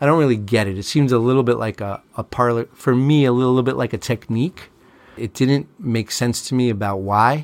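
A plain, everyday voice from a man with an American accent, medium in pitch, with ordinary pitch variation and a fairly quick pace, on a very clean recording with a silent background. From Long Island, New York. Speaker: lawyer. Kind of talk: casual chat.

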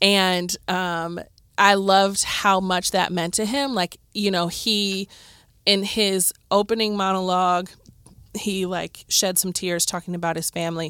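Speaking at a fairly slow pace with a Midwestern accent, a woman uses a medium pitch, a bright, sharp tone and monotone, flat intonation on a very clean recording with a silent background. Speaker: podcast co-host. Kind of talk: casual chat. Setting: studio.

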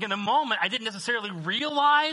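Against a quiet background, a man speaks in a raised, projected voice with a bright, sharp tone. His pace is fairly quick and his pitch swings very widely. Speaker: preacher. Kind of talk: sermon. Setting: church. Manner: conversational, with fillers.

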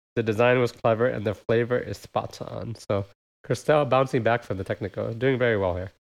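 Against a quiet background, a man with an American accent talks fairly quickly at a medium pitch with fairly even intonation and vocal fry. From United States. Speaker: podcast host. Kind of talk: casual chat.

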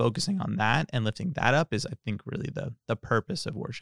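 An ordinary speaking voice with lively intonation. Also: man. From California Central Valley. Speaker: church bassist. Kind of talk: casual chat.

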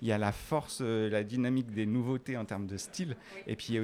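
A man's fairly low voice, dark and mellow, at a fairly quick pace with fairly even intonation. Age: 40s. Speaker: fashion designer and entrepreneur. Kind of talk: interview. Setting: corridors of a live industry event.

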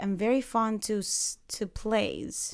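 Ordinary pitch variation marks this speech in a Spanish accent on a very clean recording with a silent background. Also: woman. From Panama. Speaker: acting student. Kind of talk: casual interview.

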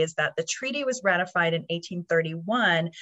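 A woman's fairly low voice with an American accent and lively intonation. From Oklahoma, Anadarko. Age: 40s. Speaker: podcast host. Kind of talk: casual interview.

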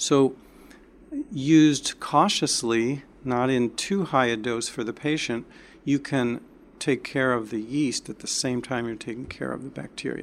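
A man with a plain, everyday voice speaks at a fairly slow pace and medium pitch, with ordinary pitch variation. The recording is very clean, with a silent background. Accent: American. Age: 60s. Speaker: doctor. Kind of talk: interview. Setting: in person.

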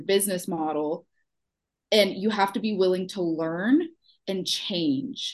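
A woman of medium pitch with a slight Houston accent, speaking fairly slowly. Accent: Houston Texan, slight, comes out when sassy. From Texas, Houston. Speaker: small business owner, former client.

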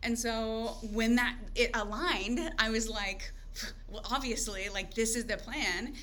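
A woman with an American accent and a fairly high pitch, with audible room echo and noticeable background noise. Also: ordinary pitch variation, fairly slow pace. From Oklahoma, small rural town. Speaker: podcast guest. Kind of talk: casual chat.

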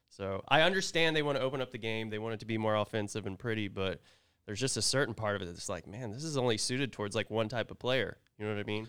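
With an American accent, a man speaks at a very fast pace in a medium pitch with ordinary pitch variation on a very clean recording with a silent background. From Oklahoma. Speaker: podcaster and youth hockey coach. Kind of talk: casual chat. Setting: studio.

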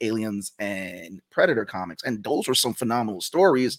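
A plain, everyday voice from a man at medium pitch, with ordinary pitch variation and a moderate pace, in a very clean, dry, close recording with a silent background and no echo. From New York, the Bronx. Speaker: comic artist and game creator. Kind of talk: casual interview chat.

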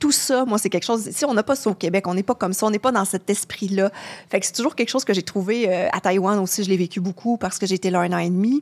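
At a very fast pace, a woman speaks in a medium pitch with ordinary pitch variation. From Quebec. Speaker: travel journalist. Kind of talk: podcast interview. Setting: studio.

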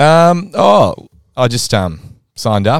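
A man is recorded with a dry, close sound and no echo. The recording is very clean, with a silent background. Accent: Australian. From Adelaide, South Australia. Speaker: amateur Australian rules football vice-captain. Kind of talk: casual chat. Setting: studio.

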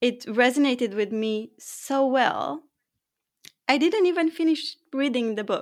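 At a fairly slow pace, a woman with a high pitch uses lively intonation. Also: very clean recording, silent background. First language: not English. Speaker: high performance coach and author. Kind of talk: interview conversation.

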